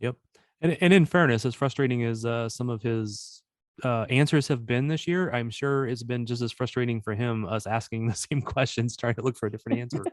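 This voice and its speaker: A man with a Missouri accent at a fairly quick pace, against a quiet background. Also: medium pitch for a man, ordinary pitch variation. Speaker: soccer podcast host. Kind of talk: casual podcast chat.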